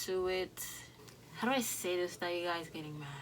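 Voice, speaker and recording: With a Dominican accent, a woman speaks in a bright, sharp tone. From Dominican Republic. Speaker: YouTube reaction creator. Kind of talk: casual reaction video talk. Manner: casual, halting with fillers.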